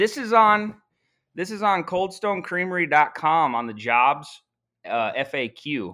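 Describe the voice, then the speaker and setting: A man's high-pitched, bright, sharp voice at a fairly slow pace, with very wide pitch swings. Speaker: former Marine. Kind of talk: casual chat. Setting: video call.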